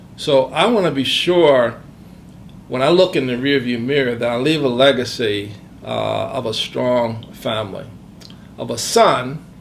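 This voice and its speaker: A man with a medium pitch talks at a fairly slow pace, with audible room echo around him. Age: 60s. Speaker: retiring professional sharing life insights. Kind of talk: interview, reflective testimony. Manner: hesitant, many filler words.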